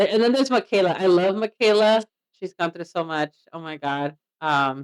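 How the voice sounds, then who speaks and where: Animated in tone with lively intonation, a woman with a Mexican accent speaks at a moderate pace and medium pitch, her loudness swinging widely in a dry, close sound with no echo. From Mexican heritage. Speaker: reaction podcast co-host. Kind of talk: casual chat.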